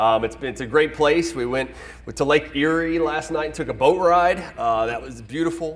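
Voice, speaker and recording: Here a man speaks at a fairly high pitch. His pace is moderate and his pitch varies in an ordinary way. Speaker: policy analyst. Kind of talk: speech to audience. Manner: loud, projecting.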